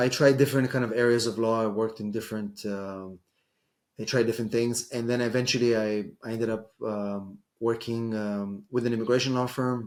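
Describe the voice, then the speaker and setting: Here a man speaks with an Israeli accent at medium pitch. His intonation is fairly even and his pace moderate. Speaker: immigration lawyer. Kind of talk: interview. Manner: hesitant, many fillers.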